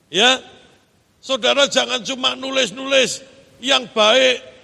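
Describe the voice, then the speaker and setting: A man speaks very slowly in a raised, projected voice pitched extremely high. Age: 50s. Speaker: pastor. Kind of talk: sermon.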